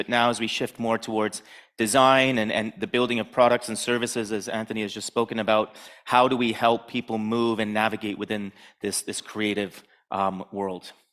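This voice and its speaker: An unremarkable speaking voice from a man, at a fairly quick pace with fairly even intonation, on a very clean recording over a silent background. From Canada, Toronto. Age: 40s. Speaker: conference speaker, design director. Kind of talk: conference talk.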